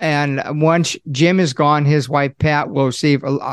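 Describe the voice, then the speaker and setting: An ordinary speaking voice from a man, fairly high in pitch with ordinary pitch variation, comes in a dry, close sound with no echo over a quiet background. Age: 60s. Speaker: Social Security consultant, accountant. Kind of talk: interview.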